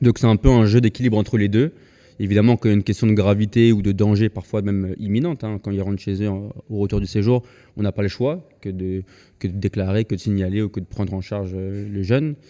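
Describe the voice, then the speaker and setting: A man speaks fairly quickly with fairly even intonation, his tone dark and mellow, his pitch fairly low. The sound is dry and close with no echo, on a very clean recording with a silent background. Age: 20s. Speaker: education nonprofit co-founder. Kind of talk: casual chat. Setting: studio.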